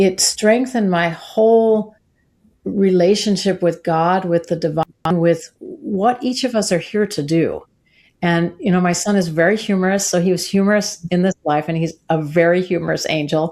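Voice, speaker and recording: The recording is very clean, with a silent background. It carries a plain, everyday voice at a moderate pace with ordinary pitch variation. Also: woman, medium pitch for a woman. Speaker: soprano singer and sound healer. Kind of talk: interview answer.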